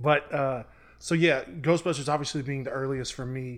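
An unremarkable speaking voice at a fairly quick pace with fairly even intonation. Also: man. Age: 30s. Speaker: podcast producer and co-host. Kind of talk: casual chat.

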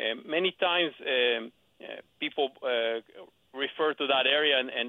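A man's medium-pitched voice moves at a moderate pace. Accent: Israeli. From Israel. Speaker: real estate agent. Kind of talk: radio interview. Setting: phone call.

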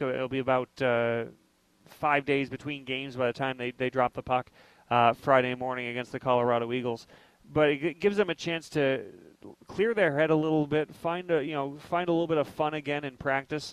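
Dry and close with no echo, a man speaks at a fairly high pitch in a plain, everyday voice. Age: 30s. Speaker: sports radio host. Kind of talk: sports talk show.

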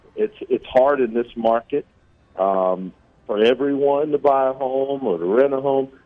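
In a plain, everyday voice with an American accent, the speaker talks at a fairly slow pace with ordinary pitch variation. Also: man, medium pitch for a man. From US Midwest (Kansas City, Missouri). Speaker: college basketball assistant coach. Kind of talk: radio interview.

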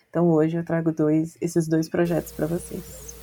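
Her fairly low voice has a dark, mellow tone as the woman speaks at a moderate pace. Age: 30s. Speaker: podcast co-host. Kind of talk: casual chat.

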